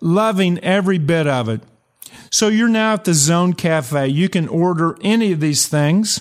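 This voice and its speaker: A man's animated, lively-intoned speech at a moderate pace on a very clean recording with a silent background. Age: 70s. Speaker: podcast host and performance coach. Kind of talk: motivational monologue.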